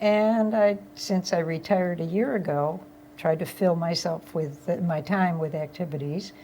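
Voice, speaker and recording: A woman speaks at a moderate pace in a fairly low pitch, her tone dark and mellow. Her voice is somewhat breathy, with ordinary pitch variation. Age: 80s+. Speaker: retired flight attendant. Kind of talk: casual chat.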